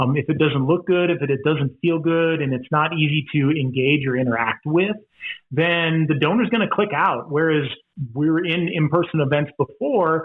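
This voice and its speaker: Speaking in a normal speaking voice, a man keeps his loudness very even, his pitch fairly high with ordinary variation, and his pace moderate. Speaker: professional charity auctioneer and fundraiser. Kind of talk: podcast interview answer.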